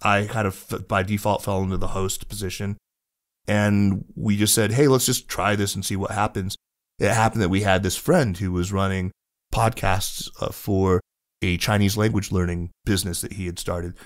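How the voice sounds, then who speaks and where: With a plain, everyday voice, a man speaks at a moderate pace, fairly low in pitch and with fairly even intonation. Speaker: podcast host. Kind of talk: interview conversation.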